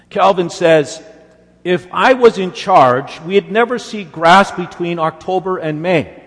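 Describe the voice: The pitch variation stays ordinary during plain reading aloud.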